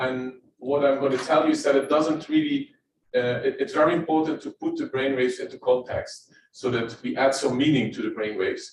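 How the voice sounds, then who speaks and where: A man with a Dutch accent at a fairly quick pace. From Netherlands. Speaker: neuroscientist. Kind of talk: lecture. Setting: presenting standing to live and online audience.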